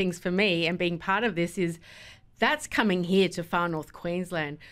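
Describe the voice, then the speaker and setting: With an Australian accent, the speaker keeps a moderate pace. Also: woman. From Melbourne, Australia. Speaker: event organiser. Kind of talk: radio interview.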